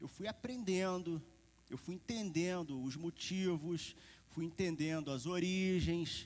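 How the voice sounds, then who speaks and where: A man speaks very slowly in a Carioca accent. His pitch sits fairly high and varies in an ordinary way. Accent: carioca accent, still noticeable. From Rio de Janeiro, Brazil. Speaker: preacher. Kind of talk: sermon. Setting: church service with congregation. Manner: conversational, informal.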